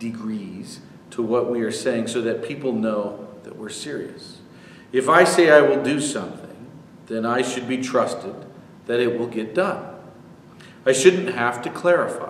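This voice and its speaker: A man with lively intonation at a fairly slow pace, amid audible room echo and light background noise. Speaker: pastor. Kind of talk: sermon. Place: church. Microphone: camera far.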